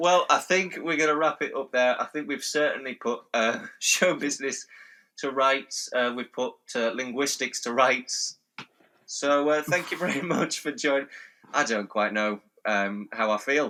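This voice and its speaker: A man with a Yorkshire accent, fairly high-pitched, at a moderate pace with ordinary pitch variation. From North Yorkshire, England. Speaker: podcast host. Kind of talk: casual chat.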